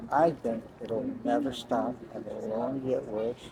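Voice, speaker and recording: Noticeable background noise runs under the recording. A man talks with fairly even intonation. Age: 60s. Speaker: passerby interviewed on the street. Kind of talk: street interview.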